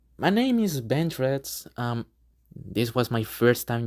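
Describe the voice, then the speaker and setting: A woman speaks with a very deep, low pitch and lively intonation. The recording is very clean, with a silent background. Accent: non-native. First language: not English. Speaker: gaming video creator. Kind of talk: unscripted casual monologue. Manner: halting, with many fillers.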